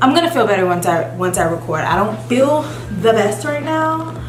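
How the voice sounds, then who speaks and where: Against background music and audible room echo, a woman speaks in a fairly low pitch. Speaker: beauty vlogger. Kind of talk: casual vlog tutorial. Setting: empty beauty room. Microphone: echo, mic not set up.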